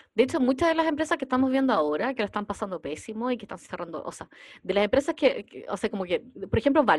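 A woman with a Chilean accent talks very fast at a high pitch, with very wide pitch swings and big swings in loudness, on a very clean recording with a silent background. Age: 40s. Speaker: podcast host, entrepreneur. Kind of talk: casual chat.

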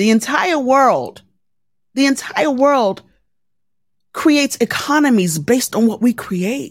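A woman with an American accent speaks in an animated tone with a high pitch and lively intonation, leaving long, frequent pauses. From Baltimore, Maryland, US. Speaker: journalist, podcaster and military veteran. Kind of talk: interview.

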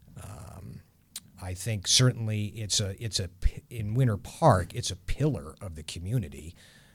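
With lively intonation and big swings in loudness, a man speaks at a moderate pace in a fairly low, somewhat breathy voice on a very clean recording with a silent background. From New England. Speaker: church minister. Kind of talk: interview.

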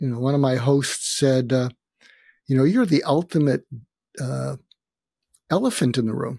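The voice is somewhat breathy, with a dark, mellow tone and ordinary pitch variation at a moderate pace. It comes through dry and close with no echo, in a very clean recording with a silent background. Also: man. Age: 70s. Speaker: psychiatrist and author. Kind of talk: casual interview.

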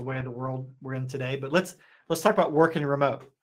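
A man with an American accent talks at a very fast clip in a medium pitch. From Appalachia, US. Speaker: company CEO and co-founder. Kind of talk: interview. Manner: animated.

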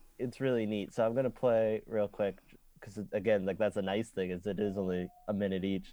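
A man with an unremarkable speaking voice talks at a fairly quick pace, his pitch fairly low and his intonation fairly even. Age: 20s. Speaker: podcast co-host. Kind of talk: casual chat.

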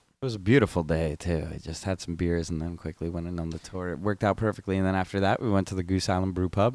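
A man talks at a very fast pace with hardly any pauses. His pitch is very deep and low, and his intonation fairly even. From New Jersey. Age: 20s. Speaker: podcast co-host. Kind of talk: casual chat.

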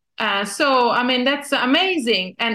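Someone speaks at a very slow pace with an Italian accent. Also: woman. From Italy. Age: 50s. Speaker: journalist and magazine founder. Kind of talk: interview. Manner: halting.

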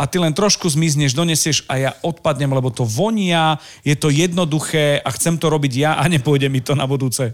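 With an unremarkable speaking voice, a man talks at a moderate pace and fairly high pitch, his loudness very even and his pitch variation ordinary. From eastern Slovakia. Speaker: podcast host. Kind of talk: casual interview.

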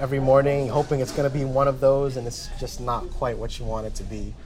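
A man with an American accent speaks very fast while music plays in the background. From Jersey City, New Jersey. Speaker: musician. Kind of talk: interview. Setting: cafe.

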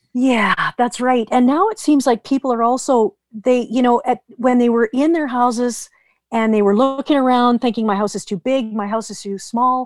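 A high-pitched woman with a western Canadian accent, fairly even in intonation at a moderate pace, dry and close with no echo, very clean recording, silent background. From British Columbia, Canada. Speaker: real estate team leader. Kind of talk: podcast interview.

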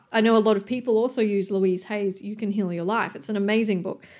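A woman speaks with an Australian accent and fairly even intonation. The recording is very clean, with a silent background. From Australia, New South Wales. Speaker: podcast host, personal development coach. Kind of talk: motivational monologue.

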